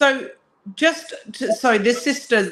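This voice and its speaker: A woman speaks with a British accent at a fairly slow pace. Her pitch varies in an ordinary way. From England. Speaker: guest speaker. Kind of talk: casual chat.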